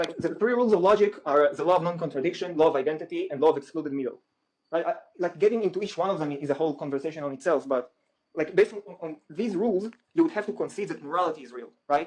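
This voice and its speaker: A man with an Israeli accent talks at a very fast pace in a high pitch with ordinary pitch variation. His loudness swings widely. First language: Hebrew. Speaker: guest debater. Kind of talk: heated debate.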